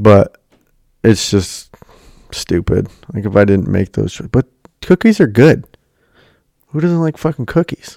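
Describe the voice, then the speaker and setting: Recorded dry and close with no echo, a man with a dark, mellow tone and medium pitch talks at a fairly slow pace, his pitch swinging very widely between long, frequent pauses. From rural area. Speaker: podcast host. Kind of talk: casual chat. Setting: home basement.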